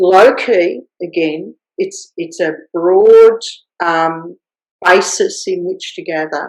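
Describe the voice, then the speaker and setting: A woman with an Australian accent. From Australia, rural Victoria. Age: 60s. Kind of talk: interview. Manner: halting with many fillers and restarts.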